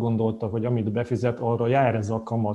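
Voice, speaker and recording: A man speaks at a medium pitch in a dark, mellow tone with monotone, flat intonation. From Hungary. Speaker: financial planner. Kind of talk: casual interview.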